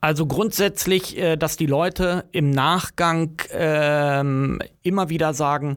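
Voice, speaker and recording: This man's voice sits fairly high, and his intonation stays fairly even. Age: 50s. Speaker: project manager. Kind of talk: interview. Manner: hesitant with fillers.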